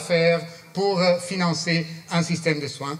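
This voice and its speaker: Against noticeable background noise, a man with a non-native accent talks at a high pitch and a moderate pace. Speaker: palliative care professor. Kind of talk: conference talk. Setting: conference with audience. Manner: halting, many fillers.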